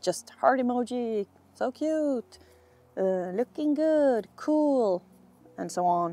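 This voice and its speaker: A woman is speaking. The sound is dry with no echo. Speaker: video creator. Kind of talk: casual vlog chat. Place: street.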